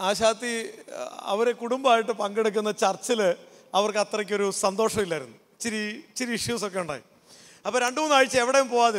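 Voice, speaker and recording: A man speaks in a high voice. His pitch varies in an ordinary way. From Kerala, Kottayam; Kerala, India. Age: 40s. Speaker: pastor and counsellor; pastor. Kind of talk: youth camp talk. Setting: stage with audience. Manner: interactive, conversational. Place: stage. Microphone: handheld.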